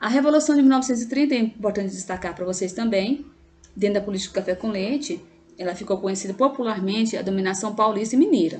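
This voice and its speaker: A woman speaks at a very fast pace with a fairly high pitch, somewhat breathy, with ordinary pitch variation. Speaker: teacher. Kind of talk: lecture. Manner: halting.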